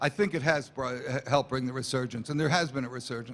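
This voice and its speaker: An ordinary speaking voice. Its intonation stays fairly even. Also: man. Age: 60s. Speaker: company founder and executive. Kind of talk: interview at trade show.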